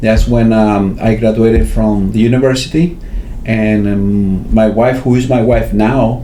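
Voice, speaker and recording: A man with a Spanish accent speaks at a fairly slow pace, medium pitch and fairly even intonation. Audible room echo and noticeable background noise fill the recording. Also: very even loudness. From Venezuela. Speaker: finance academic with a doctorate. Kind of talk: interview. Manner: halting, many fillers.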